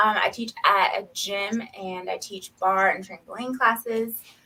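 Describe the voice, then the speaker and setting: The voice carries a Southern US accent. Its tone is bright and sharp. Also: woman. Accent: Southern country. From US South, Knoxville, Tennessee. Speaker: nurse. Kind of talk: casual interview chat.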